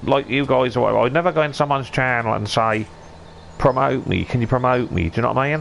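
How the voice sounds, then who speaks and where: Someone with a Suffolk accent talks at a very fast pace with ordinary pitch variation. Noticeable background noise runs underneath. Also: man. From Suffolk, eastern England. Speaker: gaming streamer. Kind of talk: casual chat.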